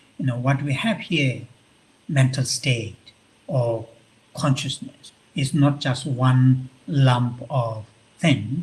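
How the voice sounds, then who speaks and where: Very slow and somewhat breathy, a man speaks at a medium pitch with ordinary pitch variation and long, frequent pauses. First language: Tibetan. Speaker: Buddhist monk and visiting professor. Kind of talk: lecture. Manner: halting, many fillers.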